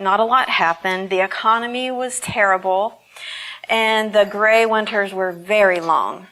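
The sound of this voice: Intonation is fairly even. The voice reads in an unforced way.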